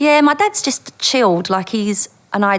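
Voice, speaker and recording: A woman with a strong East London accent speaks with ordinary pitch variation over noticeable background noise. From Dagenham, East London, England. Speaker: former undercover police officer. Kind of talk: interview storytelling.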